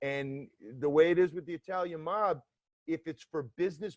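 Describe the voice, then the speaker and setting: With a New York accent, a man of fairly high pitch speaks at a moderate pace in a dry, close sound with no echo. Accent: New York accent, Brooklyn-like. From US South, Atlanta, Georgia. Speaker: former FBI agent. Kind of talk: interview.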